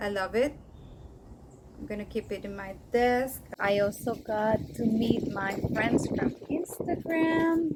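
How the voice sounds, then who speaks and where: Over noticeable background noise, a woman talks at a very slow pace with long, frequent pauses and lively intonation. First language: Spanish. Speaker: orchid collector, video creator. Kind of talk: casual show-and-tell vlog. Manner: halting, with fillers.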